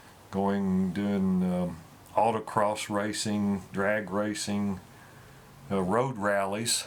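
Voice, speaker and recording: A man's fairly low, monotone voice at a very slow pace, with flat intonation, very even loudness and audible room echo. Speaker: car owner. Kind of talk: casual interview. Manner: halting, many fillers.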